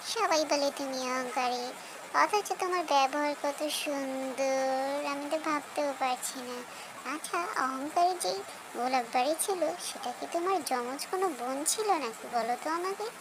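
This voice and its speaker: Loud background noise sits behind a cartoonish character voice that sounds female and is pitched high. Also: moderate pace. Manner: chatty, quacking.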